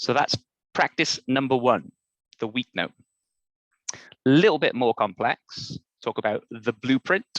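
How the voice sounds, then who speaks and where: A man with a Welsh accent, medium pitch and ordinary pitch variation, fairly slow with long, frequent pauses, dry, close sound with no echo and a quiet background. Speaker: workshop facilitator. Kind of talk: online workshop presentation.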